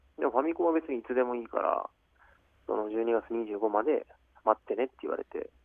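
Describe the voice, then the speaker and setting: The man's loudness rises and falls in big swings. He moves at a fairly quick pace. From Japan, Aichi Prefecture. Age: 30s. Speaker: professional basketball player. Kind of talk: radio interview. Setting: phone call.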